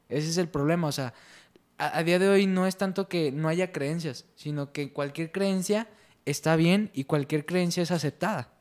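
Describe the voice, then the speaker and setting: The man, high in pitch, speaks at a moderate pace with ordinary pitch variation in a very clean recording over a silent background. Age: young. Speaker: parish youth group president, co-host. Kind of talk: casual panel discussion.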